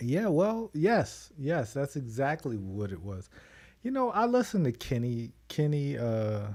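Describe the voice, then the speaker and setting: Soft-spoken and fairly high-pitched, a man's voice moves through very wide pitch swings on a very clean recording with a silent background. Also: fairly slow pace. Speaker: wrestling podcast host. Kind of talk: casual chat.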